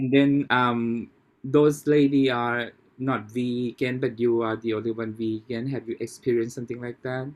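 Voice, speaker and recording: A man speaks in a Thai accent at a medium pitch. His intonation is monotone and flat. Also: moderate pace. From Thailand. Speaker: podcast host. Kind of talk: casual interview. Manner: halting, many restarts.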